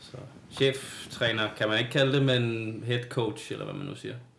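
Noticeable background noise and audible room echo surround this recording. A man speaks at a medium pitch. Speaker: CrossFit team head coach. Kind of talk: casual chat. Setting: studio.

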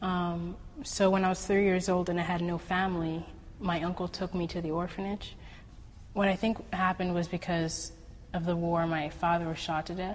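Somewhat breathy, a woman with a fairly low pitch speaks at a moderate pace in a monotone, flat intonation. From Sierra Leone, raised in the US. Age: young. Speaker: ballet dancer. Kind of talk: testimony.

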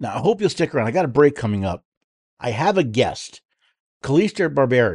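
A man's fairly high voice in an American accent, with vocal fry, very wide pitch swings, a fairly quick pace and long, frequent pauses, against a quiet background. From New York State. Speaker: political talk radio host. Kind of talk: talk radio monologue and interview.

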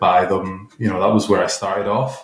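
A man with a Scottish accent talks at a fairly quick pace over noticeable background noise. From Glasgow, Scotland. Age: 30s. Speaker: computer programmer guest. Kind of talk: casual interview.

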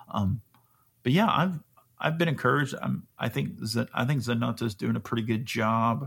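Using an American accent, a man talks at a moderate pace with medium pitch, lively intonation and vocal fry. The recording is very clean, with a silent background. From US South, Alabama. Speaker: soccer podcast co-host. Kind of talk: casual chat.

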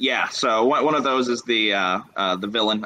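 A man with an American accent and an unremarkable speaking voice speaks at a moderate pace with ordinary pitch variation. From US South (North Carolina). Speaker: tabletop game designer. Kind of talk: casual interview.

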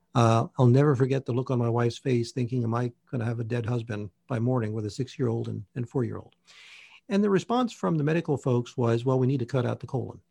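A man speaks very fast in a medium-pitched, dark, mellow, somewhat breathy voice with ordinary pitch variation. The sound is dry and close with no echo, and the background is quiet. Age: 60s. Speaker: naturopath and nutrition researcher. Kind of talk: interview, technical explanation.

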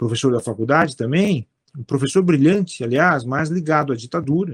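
This man has a plain, everyday voice, a fairly high pitch, lively intonation and a moderate pace. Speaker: philosopher and judge. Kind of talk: interview conversation. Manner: repetitive fillers and false starts.

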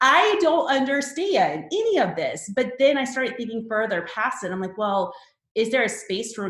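Amid audible room echo, a woman speaks at a moderate pace with very wide pitch swings. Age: 30s. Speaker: wedding photographer and educator. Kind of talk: podcast interview.

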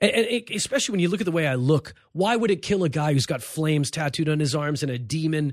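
In a Los Angeles accent, a man with a fairly high pitch talks at a very fast pace with lively intonation and hardly any pauses. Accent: sounds like a Los Angeles surfer. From East Los Angeles, US. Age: 40s. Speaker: comedian. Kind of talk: casual chat. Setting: studio.

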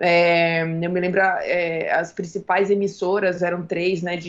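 Against noticeable background noise, a woman with a medium pitch talks at a fairly slow pace with fairly even intonation. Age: 30s. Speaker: film director and screenwriter. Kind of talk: interview.

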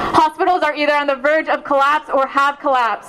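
Noticeable background noise runs behind a woman speaking at a high pitch. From Palestine. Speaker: Palestinian youth movement speaker. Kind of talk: rally speech. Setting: outdoor rally with crowd. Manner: passionate, forceful, emphatic, rapid-fire.

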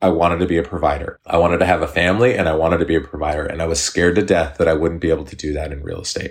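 Someone speaks very fast in an American accent, with hardly any pauses. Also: man. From US Pacific Northwest, Eugene, Oregon. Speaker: real estate agent. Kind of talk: casual interview.

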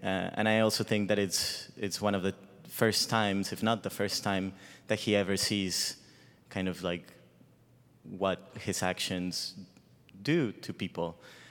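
A man with a Spanish accent at a fairly low pitch, at a fairly slow pace with long, frequent pauses, in a very clean recording with a silent background. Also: fairly even intonation. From Mexico (Guadalajara). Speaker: ballet dancer. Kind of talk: onstage interview. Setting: stage with live audience.

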